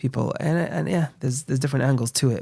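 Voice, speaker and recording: The tone of this man's voice is dark and mellow. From London, England. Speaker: rabbi, charity founder. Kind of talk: interview. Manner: soft-spoken.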